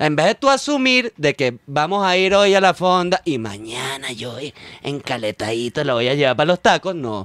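With very wide pitch swings, the speaker keeps a moderate pace in a dry sound with no echo over a quiet background. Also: man. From Venezuela. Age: 40s. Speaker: comedian and scriptwriter; comedian. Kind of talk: casual chat. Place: studio. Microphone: studio mic.

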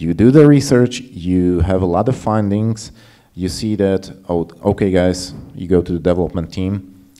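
Over a quiet background, a man speaks at a very deep, low pitch in a dark, mellow tone with ordinary pitch variation. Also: moderate pace. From Slovakia. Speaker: UX game designer; panelist. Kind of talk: conference panel discussion. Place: hall. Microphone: handheld.

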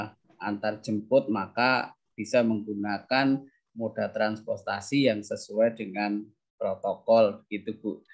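A man at a very slow pace over a quiet background. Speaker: teacher, task force head; teacher. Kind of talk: answering parents' questions. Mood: friendly, smiling. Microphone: unstable connection; video call.

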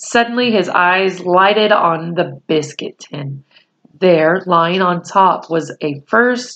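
Quiet background behind an unforced reading voice.

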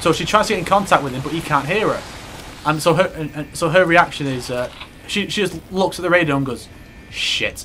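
The speech moves at a fairly quick pace with ordinary pitch variation. Background noise is noticeable. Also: man, high pitch for a man. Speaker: gaming video host. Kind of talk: casual chat while playing a video game. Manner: casual, jokey, frequent laughing and swearing.

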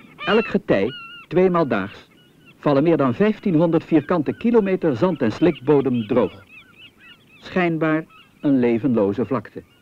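A man's calm, gentle tone at a fairly high pitch, fairly slow with long, frequent pauses and very wide pitch swings, amid noticeable background noise. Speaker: documentary narrator. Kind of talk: vintage 1970 nature-documentary voice-over, scripted, formal and authoritative. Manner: calm, didactic, with gentle wonder.

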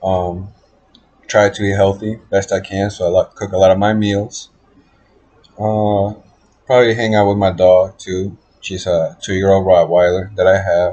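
A man speaks at a fairly slow pace with a fairly low pitch and a somewhat breathy sound. His intonation is monotone and flat, with long, frequent pauses. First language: Spanish heritage, bilingual. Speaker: college student. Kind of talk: class introduction video. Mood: relaxed, slightly awkward. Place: home room. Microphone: webcam.

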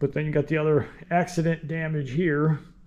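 This is a man speaking. His pace is moderate. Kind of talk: tutorial. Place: garage. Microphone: phone near.

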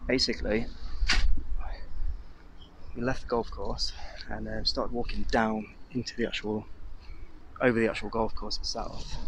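Over light background noise, a man speaks at a moderate pace in a dry sound with no echo. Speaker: urban explorer vlogger. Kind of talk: casual vlog chat. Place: open country. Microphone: phone near.

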